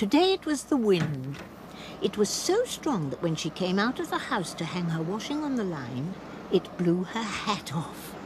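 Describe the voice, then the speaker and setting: Noticeable background noise sits behind a woman speaking at a moderate pace. Her pitch swings very widely. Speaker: narrator. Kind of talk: children's cartoon narration.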